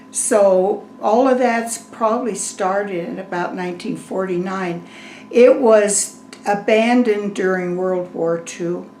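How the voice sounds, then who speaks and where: At a fairly slow pace, a woman with an American accent speaks at a medium pitch with fairly even intonation, with noticeable background noise and audible room echo. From Severance, Colorado, US. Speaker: oral history interviewee. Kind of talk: oral history interview.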